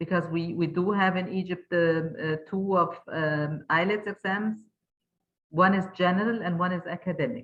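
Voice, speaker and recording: A woman speaks with a German accent at a fairly low pitch. Her pace is moderate and her intonation fairly even. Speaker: webinar moderator. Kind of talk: moderating a webinar. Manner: halting, many fillers.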